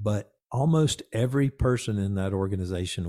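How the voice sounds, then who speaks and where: An American-accented man speaks at a moderate pace and a fairly low pitch. His tone is dark and mellow, and the sound is dry and close, with no echo. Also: very clean recording, silent background. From US South, Georgia (Conyers, near Atlanta). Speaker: fire service chief and magazine editor. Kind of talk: interview.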